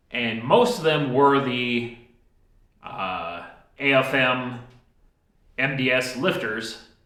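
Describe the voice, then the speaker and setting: In a room with audible echo, a man talks at a medium pitch. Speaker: DIY mechanic video host. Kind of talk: workshop tutorial talk. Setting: home workshop. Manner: slow.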